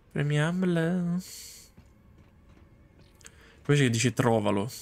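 A man with vocal fry speaks with ordinary pitch variation.

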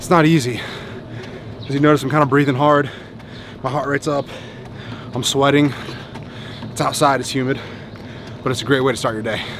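Over noticeable background noise, a man talks very fast in a monotone, flat delivery, the sound dry with no echo. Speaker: fitness coach vlogger. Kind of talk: tutorial. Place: street. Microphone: phone near.

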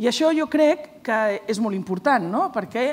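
A woman speaks at a fairly high pitch and a moderate pace. Her intonation is lively. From Catalonia. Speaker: provincial sports councillor. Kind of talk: panel discussion. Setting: stage with audience. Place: stage.

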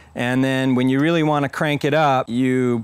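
Light background noise behind a man's dry voice, free of echo. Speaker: farm educator. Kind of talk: tutorial. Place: garden. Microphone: lapel.

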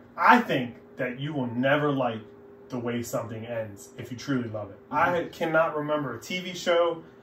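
Audible room echo and light background noise surround a man who speaks with ordinary pitch variation. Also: moderate pace, big swings in loudness. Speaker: podcast guest. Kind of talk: casual podcast chat. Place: home room. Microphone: camera far.

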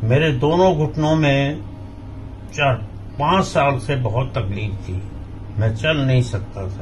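Over light background noise, a man talks at a very slow pace with long, frequent pauses and lively intonation. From India, Madhya Pradesh (Jabalpur); Madhya Pradesh, India. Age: 70s. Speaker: patient. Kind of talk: testimonial. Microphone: phone near.

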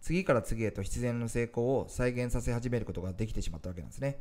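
This man has a medium pitch and a dark, mellow tone. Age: 40s. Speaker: business coach and online entrepreneur. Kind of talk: motivational talk to camera.

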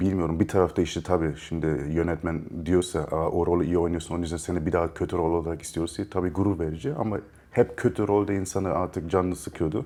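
A man's very deep, low voice with a dark, mellow tone and a slight German accent, very fast with fairly even intonation. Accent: slight German-Turkish. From Germany, Munich. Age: 30s. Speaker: actor and producer, animal rights activist. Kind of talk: interview conversation.

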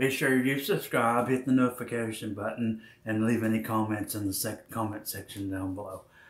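A fairly quick delivery in audible room echo, its pitch varying in an ordinary way. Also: man. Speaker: vlogger. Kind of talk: casual vlog intro. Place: kitchen. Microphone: phone near.

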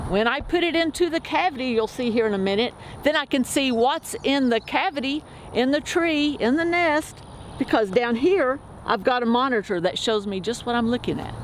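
A woman's high-pitched voice at a moderate pace with lively intonation, set against noticeable background noise. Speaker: forest biologist. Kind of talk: explanatory demonstration. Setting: outdoors in forest.

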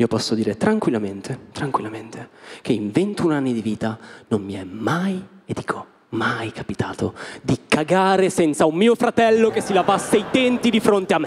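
The man's pitch sits fairly high and swings very widely. He speaks at a moderate pace. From Italy. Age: 20s. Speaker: stand-up comedian. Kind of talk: stand-up. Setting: stage with audience. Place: stage. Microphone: handheld.

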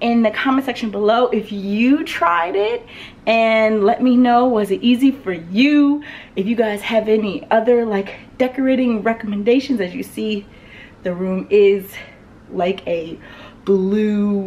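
A woman talks at a fairly slow pace with ordinary pitch variation. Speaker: lifestyle vlogger. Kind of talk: casual vlog chat. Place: home room. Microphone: phone near.

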